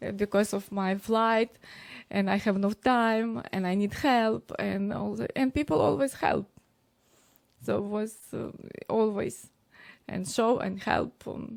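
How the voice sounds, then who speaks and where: A woman with a Ukrainian accent speaks at medium pitch and a fairly slow pace, with long, frequent pauses and ordinary pitch variation, on a very clean recording with a silent background. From Ukraine. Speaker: DJ and streamer. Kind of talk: interview. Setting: live stream interview. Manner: halting, many fillers.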